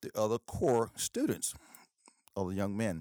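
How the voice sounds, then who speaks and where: With an East Texas accent, a man talks at a fairly quick pace and fairly low pitch in a dry, close sound with no echo, on a very clean recording with a silent background. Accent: East Texas Southern US. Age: 60s. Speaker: professor and Air Force veteran. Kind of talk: casual interview.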